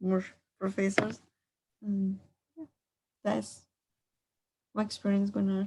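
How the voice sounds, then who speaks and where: A woman speaks at a medium pitch with a somewhat breathy sound and ordinary pitch variation. Her pace is fairly slow, with long, frequent pauses. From Colombia. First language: Spanish. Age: 20s. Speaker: art student. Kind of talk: self-introduction. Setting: video call.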